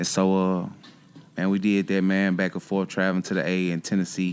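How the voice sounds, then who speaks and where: A man's very deep, low voice in an American accent at a fairly quick pace. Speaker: rapper. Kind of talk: casual interview. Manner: hesitant, many fillers.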